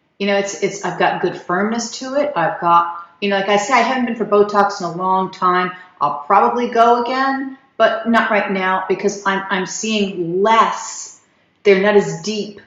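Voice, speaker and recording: There is audible room echo as a woman speaks in a medium-pitched voice. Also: ordinary pitch variation, moderate pace. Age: 60s. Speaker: skin care video creator. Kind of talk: product review. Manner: halting, repeated false starts.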